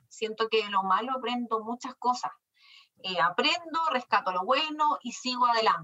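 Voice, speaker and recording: A woman with high pitch and a bright, sharp tone speaks at a moderate pace with lively intonation. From Chile, Chillán. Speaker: business owner, lawyer. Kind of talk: interview.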